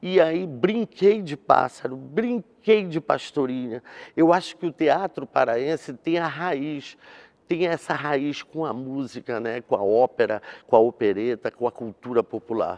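A man talks fairly slowly, his intonation lively. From Belém, Pará, Brazil; Pará, Brazil. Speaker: actor and theatre director; actor. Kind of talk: interview. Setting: theatre. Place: stage. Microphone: lapel.

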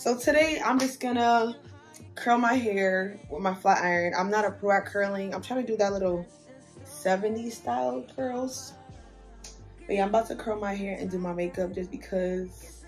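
Faint music sits in the background while a woman speaks at a moderate pace. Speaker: beauty vlogger. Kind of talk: casual vlog chat. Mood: relaxed, chatty. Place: home room. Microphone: phone near.

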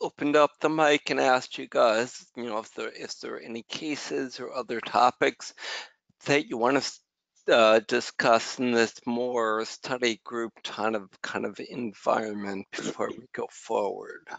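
A man talks at a fairly slow pace with big swings in loudness. The sound is dry with no echo, and the background is quiet. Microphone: video call.

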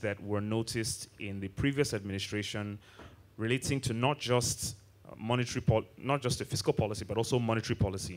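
A man's voice with fairly even intonation. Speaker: panel moderator. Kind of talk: moderated question to a panelist. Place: hall. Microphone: handheld.

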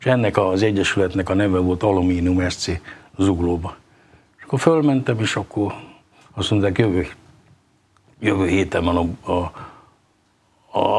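With a very deep, low pitch and ordinary pitch variation, a man speaks at a fairly slow pace, leaving long, frequent pauses. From Hungary. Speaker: table tennis player; guest. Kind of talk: casual interview. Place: studio. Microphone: lapel.

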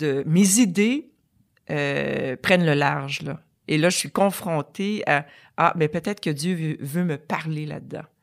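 Very slow and very deep, a woman's voice shows ordinary pitch variation in a very clean recording with a silent background. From Quebec. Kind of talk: testimony.

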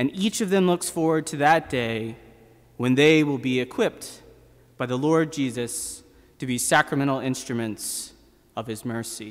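A man talks at a moderate pace with ordinary pitch variation over a quiet background. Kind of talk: sermon. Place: church. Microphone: podium.

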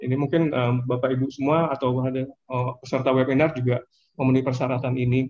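The voice runs at a very fast pace with monotone, flat intonation. Loudness stays very even over light background noise. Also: man. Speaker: government finance official; presenter. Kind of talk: webinar presentation. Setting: video call. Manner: hesitant, many fillers. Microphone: video call.

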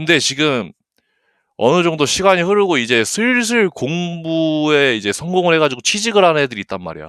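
The recording is very clean, with a silent background. A man speaks at a fairly high pitch and a moderate pace in an animated tone. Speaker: gaming streamer. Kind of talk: casual livestream chat. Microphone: good mic, picks up breathing.

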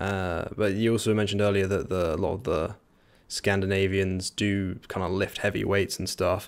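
A man with a southern English accent speaks at a moderate pace and a fairly low pitch. His intonation is monotone and flat. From England, near London. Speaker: podcast host. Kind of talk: interview. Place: home room. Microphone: studio mic.

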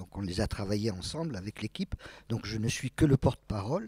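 A somewhat breathy man with a fairly low pitch is heard in a dry, close sound with no echo. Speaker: interviewer. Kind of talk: interview. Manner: halting.

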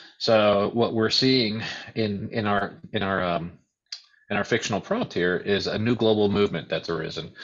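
A man with a fairly low pitch talks at a moderate pace in an ordinary speaking voice. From US, born in Uruguay. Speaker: author and editor. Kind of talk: online panel discussion. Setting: video call.

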